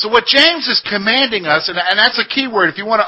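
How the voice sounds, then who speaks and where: The man speaking has a high-pitched voice. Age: 40s. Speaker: Bible teacher. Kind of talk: Bible study lesson. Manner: conversational, addresses audience directly.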